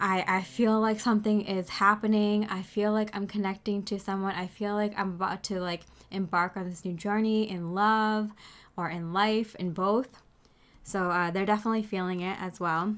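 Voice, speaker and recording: A woman's monotone, flat delivery at a moderate pace, in a very clean recording with a silent background. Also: medium pitch for a woman. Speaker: tarot reader. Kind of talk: tarot reading. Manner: loud.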